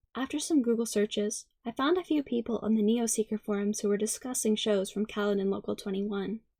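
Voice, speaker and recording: A soft-spoken woman with a dark, mellow tone and fairly high pitch, talking at a fairly quick pace with hardly any pauses, in dry, close sound with no echo. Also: ordinary pitch variation. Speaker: ASMR creator. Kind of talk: ASMR story reading.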